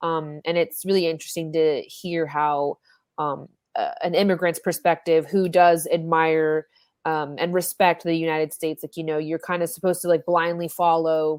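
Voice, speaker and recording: A speaker with an American accent talks at a moderate pace with monotone, flat intonation. The recording is very clean, with a silent background. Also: woman, fairly low pitch for a woman. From US South. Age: 20s. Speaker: podcast host. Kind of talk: casual chat.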